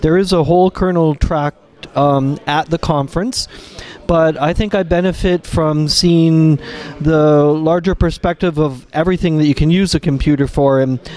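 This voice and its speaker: With music in the background, a man with a Canadian accent and a fairly high pitch speaks at a moderate pace, his loudness very even and his intonation fairly even. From Canada. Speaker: kernel developer. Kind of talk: interview. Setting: conference lounge.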